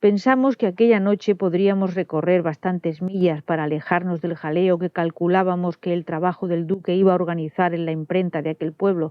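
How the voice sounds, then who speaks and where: At a fairly quick pace and with fairly even intonation, an ordinary speaking voice is heard. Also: woman, fairly low pitch for a woman. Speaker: audiobook narrator. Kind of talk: audiobook reading.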